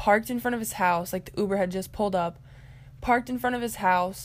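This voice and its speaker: The tone here is animated. Intonation stays lively throughout. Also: woman. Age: young. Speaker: podcast host. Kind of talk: casual storytelling monologue.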